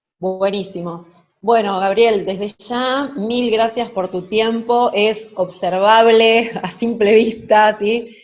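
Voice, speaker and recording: A woman's fairly high voice in a Rioplatense accent, very slow in pace, with fairly even intonation. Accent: Argentine Spanish (rioplatense). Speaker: interviewer, teacher. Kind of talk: interview.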